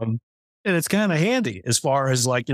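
Speaking at a fairly quick pace with an American accent, a man has a medium pitch and an unremarkable speaking voice, recorded with a dry, close sound and no echo. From US West. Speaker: novelist. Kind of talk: interview.

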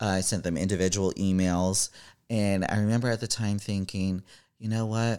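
A man talks at a moderate pace in a fairly low pitch, with a dark, mellow tone and monotone, flat intonation. His loudness stays very even, and the recording is very clean with a silent background. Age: 30s. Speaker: comedian. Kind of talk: casual chat.

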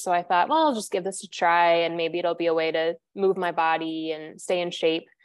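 A woman keeps her intonation fairly even while talking at a moderate speed. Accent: Midwestern American. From US Midwest, central Illinois. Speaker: yoga studio director. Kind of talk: interview.

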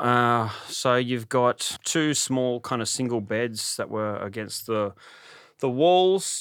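The speaker has an Australian accent and a very slow pace. The recording is very clean, with a silent background. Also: man. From Sydney, Australia. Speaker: stand-up comedian and former prisoner. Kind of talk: interview.

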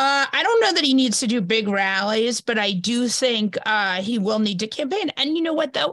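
A woman with an American accent and fairly high pitch, an unremarkable speaking voice, talks at a moderate pace with lively intonation, very even loudness and hardly any pauses. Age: 40s. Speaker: journalist and podcaster. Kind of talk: casual interview. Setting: video call.

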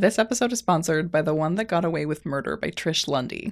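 Heard on a very clean recording with a silent background, a woman with a plain, everyday voice talks at a fairly low pitch, a moderate pace and ordinary pitch variation. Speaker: ad reader. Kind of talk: sponsor read.

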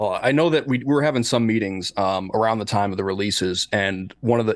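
A man talks at a moderate pace and medium pitch with ordinary pitch variation. He has a plain, everyday voice, and the background is quiet. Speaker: musician and podcast co-host. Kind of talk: casual interview chat.

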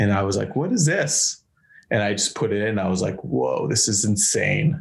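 With an American accent, a man speaks at a moderate pace in a somewhat breathy voice with lively intonation. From Massachusetts, between Boston and Worcester. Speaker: hardcore guitarist. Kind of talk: casual chat. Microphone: laptop mic.

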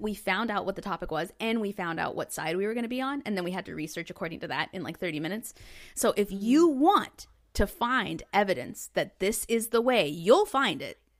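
The speaker has a plain, everyday voice with lively intonation at a fairly quick pace. The recording is very clean, with a silent background. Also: woman, medium pitch for a woman. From US South, Northwest Arkansas. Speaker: comedian and podcast host. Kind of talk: casual chat.

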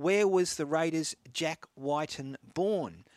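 A man with an Australian accent speaks at a fairly high pitch. His pitch varies in an ordinary way, and the sound is dry and close with no echo. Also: very clean recording, silent background. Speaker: radio host. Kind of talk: radio sports talk show, live broadcast. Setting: studio.

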